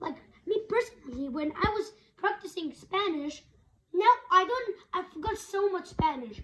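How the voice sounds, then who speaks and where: A woman's voice is extremely high, with a bright, sharp tone. Her intonation is lively. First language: Kurdish. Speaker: language learning vlogger. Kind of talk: tutorial. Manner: halting.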